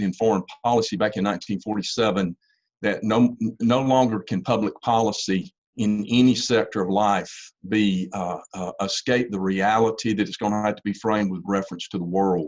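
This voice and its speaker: Against a quiet background, a man with a Southern US accent talks at a fairly quick pace and a fairly low pitch, his intonation fairly even. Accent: Southern US (Georgia). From US South, Georgia. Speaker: university engineering professor and policy fellow. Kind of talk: lecture. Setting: video call webinar. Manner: halting, many repetitions.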